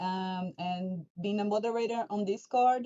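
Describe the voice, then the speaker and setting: A woman speaks with a Portuguese accent. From Brazil. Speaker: fan community moderator. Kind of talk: livestream Q&A hosting. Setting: livestream.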